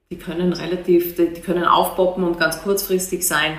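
In audible room echo, a woman with an Austrian accent speaks at a moderate pace and fairly low pitch. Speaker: museum director. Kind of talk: interview. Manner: hesitant, with many fillers and repetitions.

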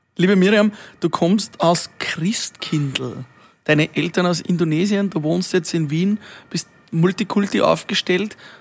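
A man is speaking with a high pitch. His intonation is fairly even. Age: 30s. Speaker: podcast host. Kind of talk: casual interview chat. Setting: outdoors in a garden.

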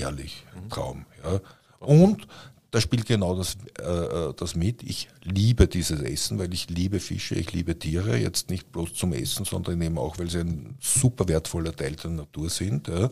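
A man's very deep, low voice with a dark, mellow tone and vocal fry, lively intonation at a moderate pace, on a very clean recording with a silent background. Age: 60s. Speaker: podcast host, publisher. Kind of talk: casual chat. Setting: studio.

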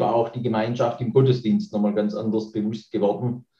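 The speaker is a man with a dark, mellow tone. His voice is somewhat breathy. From Baden-Württemberg, Nagold area. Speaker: church minister. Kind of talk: interview.

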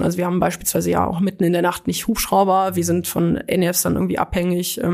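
A woman with a fairly low pitch and vocal fry talks at a fairly quick pace. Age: 20s. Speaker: paramedic and volunteer firefighter. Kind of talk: interview. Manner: animated.

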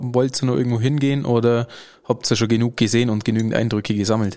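A man at a medium pitch with an ordinary speaking voice. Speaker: podcast host. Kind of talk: casual interview. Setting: studio.

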